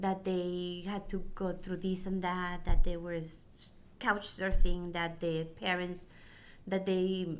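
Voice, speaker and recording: The voice comes very slowly with monotone, flat intonation amid audible room echo. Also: woman, medium pitch for a woman. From Mexico. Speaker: parent support group co-founder. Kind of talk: interview conversation.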